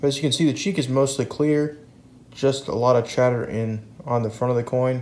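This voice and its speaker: A man's medium-pitched voice, fairly quick in pace, with fairly even intonation. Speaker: coin dealer. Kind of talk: video blog about coin collecting. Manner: casual, conversational.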